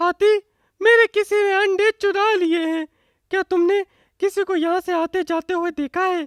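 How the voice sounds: This cartoonish character voice moves at a moderate pace. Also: man, extremely high pitch for a man.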